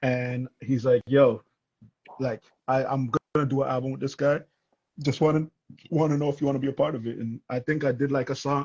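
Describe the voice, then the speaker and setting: A man with a strong Toronto accent, medium-pitched and somewhat breathy, fairly quick yet with long, frequent pauses, in monotone, flat intonation. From Toronto, Canada. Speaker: rapper. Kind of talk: casual chat.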